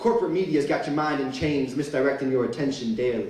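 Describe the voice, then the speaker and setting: Noticeable background noise runs beneath a man's fairly high-pitched voice. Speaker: spoken word poet. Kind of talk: live spoken word performance. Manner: rhythmic, rhyming delivery.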